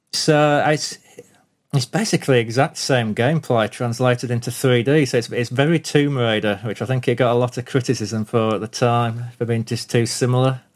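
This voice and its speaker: The speaker has a plain, everyday voice at a moderate pace. Intonation is fairly even. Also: man, medium pitch for a man. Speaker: retro game enthusiast. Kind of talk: casual chat.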